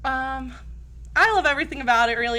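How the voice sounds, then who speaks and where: A woman talks loudly at a fairly quick pace, with an American accent. Room echo is audible. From New Jersey. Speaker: teacher. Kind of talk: casual chat. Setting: studio. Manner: fast.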